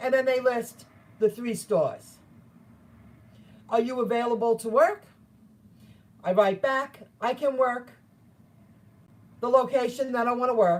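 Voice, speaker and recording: Her voice is high-pitched as this woman speaks at a fairly slow pace with long, frequent pauses. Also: ordinary pitch variation. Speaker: gig worker vlogger. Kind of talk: casual vlog talk. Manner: loud, screaming to be heard.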